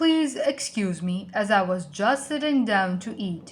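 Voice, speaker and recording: A woman puts on a gruff, growling character voice at medium pitch with very wide pitch swings, speaking at a fairly slow pace. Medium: read story.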